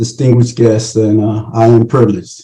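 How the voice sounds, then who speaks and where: Speaking at a moderate pace, a man uses a medium pitch and a dark, mellow, somewhat breathy tone, his intonation monotone and flat. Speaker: committee chairman. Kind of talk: conference remarks.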